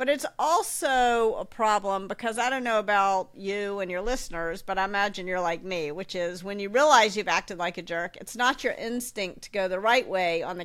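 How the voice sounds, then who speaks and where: A woman with an ordinary speaking voice talks at a fairly quick pace with hardly any pauses, her medium pitch showing ordinary variation. The recording is very clean, with a silent background. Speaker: author and leadership coach. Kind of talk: casual interview.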